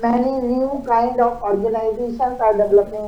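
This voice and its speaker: A woman with an Indian accent speaks at a fairly slow pace and fairly high pitch. Audible room echo and noticeable background noise surround her voice. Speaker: invited speaker, expert panelist. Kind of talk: panel address. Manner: hesitant, with frequent uh fillers.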